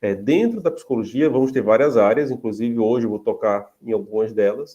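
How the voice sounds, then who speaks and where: Speaking in a dark, mellow tone with a northeastern Brazilian accent, a man moves at a fairly quick pace with medium pitch and ordinary pitch variation. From Paraíba, Brazilian Northeast. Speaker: psychology professor. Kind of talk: lecture. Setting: video call. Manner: hesitant, many fillers.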